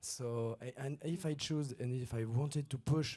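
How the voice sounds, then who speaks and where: A man speaks with a French accent. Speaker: conference speaker. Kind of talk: conference Q&A. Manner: halting.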